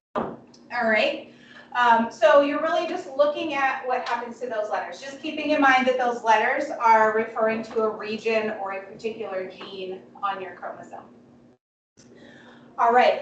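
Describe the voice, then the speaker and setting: A woman speaks at a high pitch with lively intonation and big swings in loudness. Noticeable background noise and audible room echo fill the recording. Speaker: biology instructor. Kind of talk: lecture. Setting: classroom.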